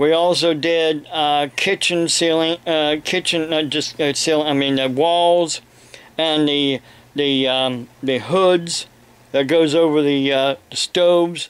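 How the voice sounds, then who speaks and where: A man with an American accent speaks very slowly in a fairly high pitch, his loudness staying very even throughout. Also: fairly even intonation. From Ohio, US. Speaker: evangelist preacher and video blogger. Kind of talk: angry rant, indignant and scolding, aimed at online trolls who harass his family. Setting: home, talking to camera with a kitten and police scanner nearby. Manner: halting, filler-filled, self-interrupting; indignant, raised and confrontational during the rant. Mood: aggrieved in parts. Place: home room. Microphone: webcam.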